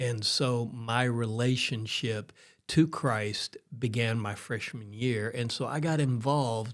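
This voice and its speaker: Speaking at a very slow pace, a man with a Texan accent stays at medium pitch with ordinary pitch variation. The recording is very clean, with a silent background. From Texas, Houston area. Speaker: pastor. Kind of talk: interview conversation.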